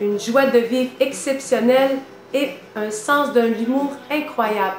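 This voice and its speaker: A woman with a high voice speaks very slowly, with audible room echo and noticeable background noise. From Quebec, Lac-Saint-Jean Innu community. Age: 30s. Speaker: schoolteacher. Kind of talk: candidate self-presentation video.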